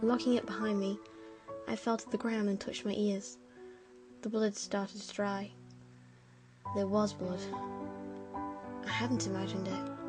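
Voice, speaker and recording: The speaker mumbles at a fairly slow pace, leaving long, frequent pauses. Music plays in the background. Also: woman. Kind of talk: horror story narration. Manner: slightly mumbled.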